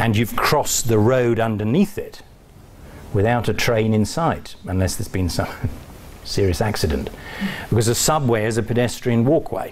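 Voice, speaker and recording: Noticeable background noise and audible room echo surround a man of medium pitch. He talks at a moderate pace with ordinary pitch variation and long, frequent pauses. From England. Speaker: college dean giving a talk. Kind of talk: lecture. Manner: hesitant, with fillers.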